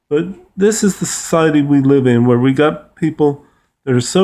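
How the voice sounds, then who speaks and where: At a moderate pace, a man talks in a fairly high pitch with a dark, mellow tone and ordinary pitch variation. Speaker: vlogger. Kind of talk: opinion rant. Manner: animated.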